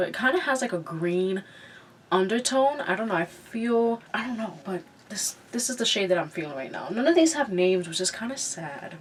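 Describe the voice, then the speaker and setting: A woman's pitch swings very widely as she talks at a moderate pace amid noticeable background noise. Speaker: beauty vlogger. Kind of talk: makeup tutorial with casual chat. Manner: casual, filler-heavy.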